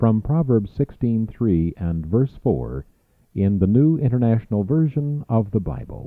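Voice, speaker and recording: Speaking fairly slowly, a man with an unremarkable speaking voice uses lively intonation. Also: medium pitch for a man. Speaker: radio announcer. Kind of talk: radio station promo and scripture reminder read.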